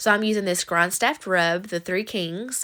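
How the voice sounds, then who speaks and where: The recording is very clean, with a silent background. A woman with a Southern US accent speaks in a bright, sharp tone. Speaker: cooking vlogger. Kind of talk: recipe tutorial voiceover. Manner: fast; casual, chatty.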